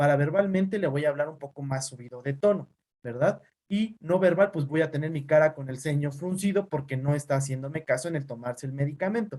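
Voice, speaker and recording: A man's fairly quick, somewhat breathy voice with a dark, mellow tone, a fairly high pitch, ordinary pitch variation and big swings in loudness. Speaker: teacher and physician. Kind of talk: online class lecture. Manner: fast; neutral tone.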